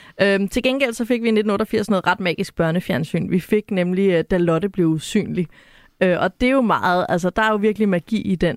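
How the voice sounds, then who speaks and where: A woman with a normal speaking voice talks at a moderate pace and medium pitch with ordinary pitch variation, recorded very cleanly against a silent background with a dry, close sound and no echo. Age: 30s. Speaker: cultural analyst, podcast co-host. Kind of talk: casual chat.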